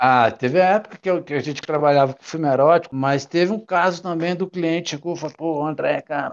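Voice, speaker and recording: A man talks at a fairly quick pace in a plain, everyday voice with ordinary pitch variation. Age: 40s. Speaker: former video rental store owner. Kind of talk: casual interview.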